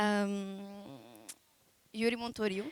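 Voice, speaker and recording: With a Portuguese accent, a woman speaks at a medium pitch in a flat, monotone delivery. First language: Portuguese (speaking French). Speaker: bride. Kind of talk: wedding vows. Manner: hesitant.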